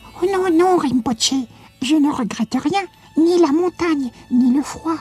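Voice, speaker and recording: A female-sounding put-on character voice sits high in pitch. Its tone is timid. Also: moderate pace. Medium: read story. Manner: timid, hesitant.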